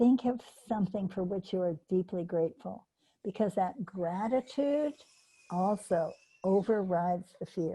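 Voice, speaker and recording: Somewhat breathy and dark, mellow in tone, a woman's medium-pitched voice moves at a fairly slow pace with ordinary pitch variation. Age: 80s+. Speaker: animal training teacher. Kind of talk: online workshop teaching.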